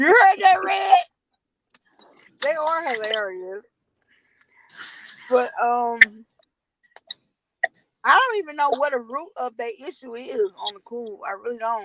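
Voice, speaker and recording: Pausing long and often, a woman speaks at a fairly slow pace in a high pitch, with very wide pitch swings and big swings in loudness. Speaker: livestream host. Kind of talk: casual chat.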